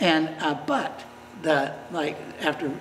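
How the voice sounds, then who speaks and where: With audible room echo and noticeable background noise, a man speaks in a fairly high voice. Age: 70s. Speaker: business owner. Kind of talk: news interview. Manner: halting, many false starts.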